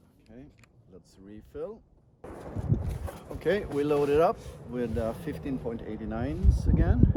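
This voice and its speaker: A man's voice at a medium pitch, fairly slow, with lively intonation, big swings in loudness, long and frequent pauses, and noticeable background noise. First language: Swedish. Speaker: airgun shooter, channel host. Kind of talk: solo outdoor commentary while shooting. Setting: outdoors at a shooting range.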